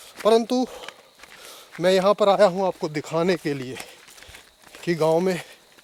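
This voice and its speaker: High in pitch, a man speaks with ordinary pitch variation and long, frequent pauses. The sound is dry and close with no echo, though noticeable background noise is present. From Uttarakhand, India. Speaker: travel vlogger. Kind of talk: travel vlog narration. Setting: outdoors.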